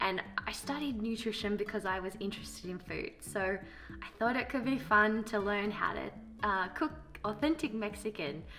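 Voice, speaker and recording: Over music in the background, a woman with an Australian accent talks at a moderate pace, her medium pitch showing ordinary variation. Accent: Australian, lazy speech. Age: 30s. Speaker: vlogger. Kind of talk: casual vlog monologue. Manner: mumbles sometimes; hesitant, many fillers.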